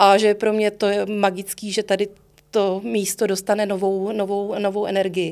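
At a moderate pace, a woman of medium pitch speaks in a monotone, flat intonation. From Prague (Letná, Prague 7). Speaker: music librarian. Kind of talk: interview. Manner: halting.

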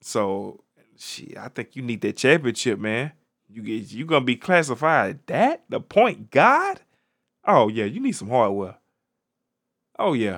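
In an animated tone with lively intonation, a man at a medium pitch speaks fairly slowly with long, frequent pauses and big swings in loudness, on a very clean recording with a silent background. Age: 30s. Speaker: podcast host. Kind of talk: casual solo commentary on current events.

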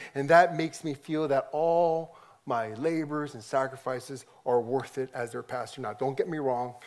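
A normal speaking voice from a man with a General American accent, fairly high-pitched, fairly even in intonation, at a moderate pace. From US, Korean American second generation. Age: 50s. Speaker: pastor. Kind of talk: conference talk. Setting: stage with audience.

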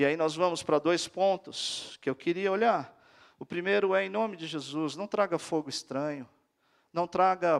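A man's high-pitched voice at a fairly slow pace, ordinary pitch variation, dry, close sound with no echo. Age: 40s. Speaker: guest preacher. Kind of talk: sermon. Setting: church.

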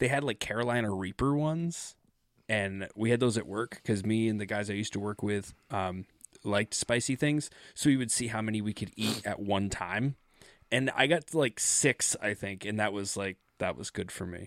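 A man in a normal speaking voice talks at a moderate pace, his fairly low pitch showing ordinary variation, the sound dry and close with no echo. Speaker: podcast co-host. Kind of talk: casual chat.

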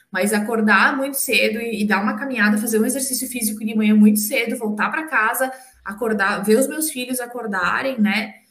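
A woman speaks at a fairly quick pace with a fairly high pitch, fairly even intonation and hardly any pauses, her voice carrying audible room echo. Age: 40s. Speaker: parent. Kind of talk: casual interview.

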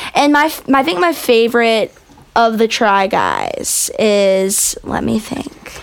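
A woman with an American accent speaks at a very slow pace with lively intonation. Her pitch is fairly high, and noticeable background noise sits behind her. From Florida. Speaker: musician. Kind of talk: casual chat. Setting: studio.

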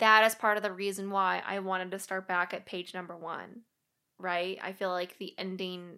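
Talking at a fairly quick pace, a woman uses a plain, everyday voice at a medium pitch. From Missouri, US Midwest. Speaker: life coach. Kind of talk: casual chat.

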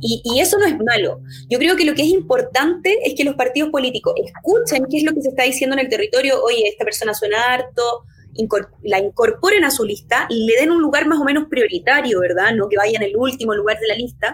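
Over noticeable background noise, a woman with a Chilean accent speaks fairly quickly in a high voice, her pitch swinging very widely while her loudness stays very even. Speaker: lawyer. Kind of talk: casual chat.

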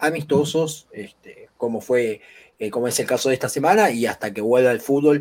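A man with a Rioplatense accent, medium-pitched, at a moderate pace. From Argentina. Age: 20s. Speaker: football pundit. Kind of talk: sports talk show.

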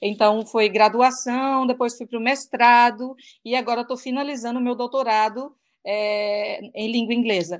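A woman speaks at a moderate pace. Her voice is high-pitched, with fairly even intonation. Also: quiet background. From Brazil, interior of Goiás. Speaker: English teacher. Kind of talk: interview.

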